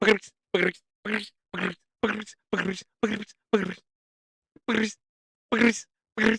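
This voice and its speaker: A raspy, put-on character voice at a fairly high pitch rushes along at a very fast pace in a monotone, flat intonation. Long, frequent pauses break it up. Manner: very fast, rapid-fire repetition.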